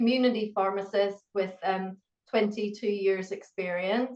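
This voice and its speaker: A woman speaks with a Northern Irish accent. Her intonation stays fairly even. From Northern Ireland. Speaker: pharmacist and university educator. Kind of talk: interview.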